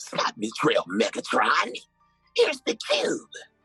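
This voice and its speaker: A man puts on a character voice at an extremely high pitch, with faint music in the background. He talks at a fairly slow pace. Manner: menacing, gravelly.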